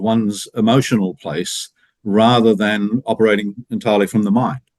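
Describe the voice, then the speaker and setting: Moderate pace and ordinary pitch variation in a dry, close sound with no echo. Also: man. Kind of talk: podcast host interview. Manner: hesitant, many fillers.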